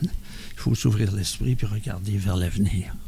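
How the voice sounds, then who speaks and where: The tone is dark and mellow, somewhat breathy. The pace is fairly slow. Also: man. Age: 70s. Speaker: member of a mental health community group. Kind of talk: podcast testimony. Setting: around a table with group.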